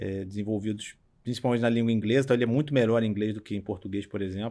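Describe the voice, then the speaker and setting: Rattling along very fast, a man speaks with a fairly low pitch and fairly even intonation. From Brazil, Petrópolis (Rio de Janeiro state). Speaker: startup CEO. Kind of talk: interview. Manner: casual, colloquial.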